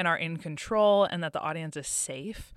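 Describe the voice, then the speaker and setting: A woman's unremarkable speaking voice with an American accent, fairly low in pitch with ordinary pitch variation, on a very clean recording with a silent background. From Massachusetts. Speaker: recent theater graduate. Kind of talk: interview. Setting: studio.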